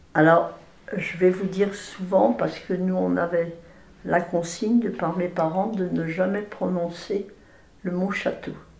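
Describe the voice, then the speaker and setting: A woman talks very slowly, her voice carrying audible room echo amid noticeable background noise. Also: medium pitch for a woman, fairly even intonation. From France, Villard-de-Lans (Vercors). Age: 80s+. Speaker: elderly local resident sharing memories. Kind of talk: oral history interview. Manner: hesitant, with repetitions.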